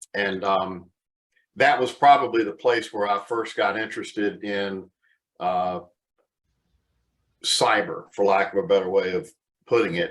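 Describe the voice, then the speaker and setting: A man with an American accent speaks at a fairly slow pace in a fairly low pitch, with ordinary pitch variation and long, frequent pauses. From US South, Charlotte, North Carolina. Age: 60s. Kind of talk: webcast interview.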